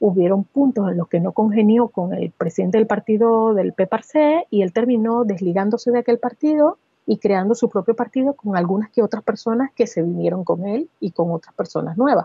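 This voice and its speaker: With hardly any pauses, a woman talks at a moderate pace in a fairly high, somewhat breathy voice with lively intonation. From Venezuela, Barquisimeto. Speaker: advertising professional. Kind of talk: interview conversation.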